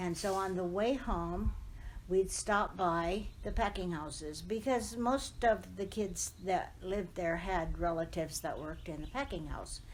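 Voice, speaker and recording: Vocal fry and ordinary pitch variation at a fairly slow pace, with an American accent. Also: woman, fairly low pitch for a woman. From Southern California, Riverside. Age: 80s+. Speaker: oral history interviewee. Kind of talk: oral history interview. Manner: reminiscing, conversational.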